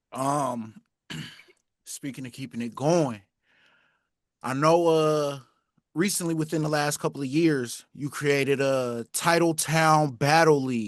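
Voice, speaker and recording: A fairly high-pitched man's voice with ordinary pitch variation, long, frequent pauses, and a quiet background. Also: fairly slow pace. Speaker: interviewer, channel host. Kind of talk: interview questions. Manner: casual, conversational.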